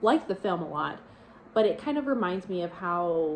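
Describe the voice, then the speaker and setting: Noticeable background noise runs behind this woman. She speaks at a moderate pace with lively intonation. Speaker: book vlogger. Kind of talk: casual vlog talk.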